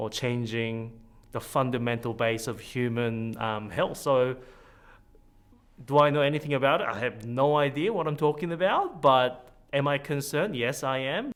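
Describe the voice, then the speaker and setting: This man has an unremarkable speaking voice. His pitch sits at medium. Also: ordinary pitch variation, moderate pace. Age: 30s. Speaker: citizens' jury member. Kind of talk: interview.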